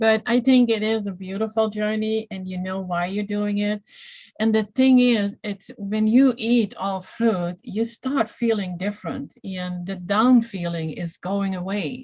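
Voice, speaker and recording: A somewhat breathy woman with a non-native accent, at medium pitch and a fairly slow pace. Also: ordinary pitch variation. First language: not English. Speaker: detox specialist and iridologist. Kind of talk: casual health Q&A livestream.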